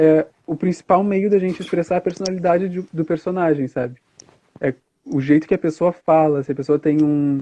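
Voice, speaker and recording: A man's dark, mellow tone at a fairly high pitch, with ordinary pitch variation and a moderate pace, dry and close with no echo. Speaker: drag performer. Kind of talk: interview on a live stream. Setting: Instagram live stream. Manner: hesitant, many fillers.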